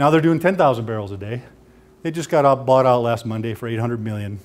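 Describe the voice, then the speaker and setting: A man with a US Midwestern accent, medium pitch, ordinary pitch variation and a very fast pace. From US Midwest, Sioux County, Iowa. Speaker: financial advisor. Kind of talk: presentation to audience.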